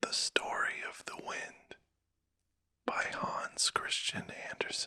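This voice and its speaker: Whispering at a very slow pace, the voice keeps a calm tone. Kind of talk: sleep story. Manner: whispered, calm, soft-spoken.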